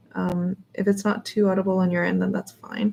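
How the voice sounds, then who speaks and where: Over music in the background, a woman mumbles at a moderate pace with a medium pitch. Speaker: artist live-streaming painting. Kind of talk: casual live-stream commentary while painting. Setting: live stream. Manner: mumbles under breath.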